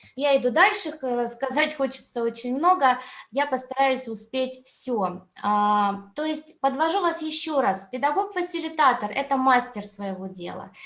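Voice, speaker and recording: Audible room echo surrounds a voice moving at a fairly slow pace with lively intonation. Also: woman, high pitch for a woman. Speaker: education conference speaker, teacher trainer. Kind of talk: online conference talk. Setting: video call.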